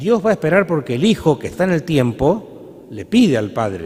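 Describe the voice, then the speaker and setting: Very wide pitch swings in a man's fairly high-pitched voice. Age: 60s. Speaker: priest. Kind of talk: sermon. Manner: halting.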